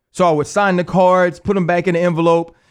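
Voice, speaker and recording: Speaking at a high pitch with an animated tone, a man has a New Orleans accent. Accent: New Orleans Southern US. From Louisiana, New Orleans area. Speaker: retired football player, podcast host. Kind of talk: solo commentary rant.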